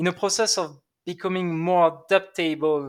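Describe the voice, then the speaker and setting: Someone with a French accent speaks at a very slow pace on a very clean recording with a silent background. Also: man. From southern France, Aix-en-Provence. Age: 20s. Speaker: sales enablement lead. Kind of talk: interview.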